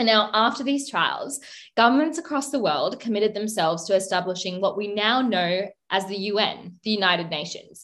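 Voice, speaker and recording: Speaking with an Australian accent, a woman uses lively intonation at a medium pitch and a moderate pace. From Adelaide, South Australia. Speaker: podcast co-host, law postgraduate student. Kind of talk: casual educational chat.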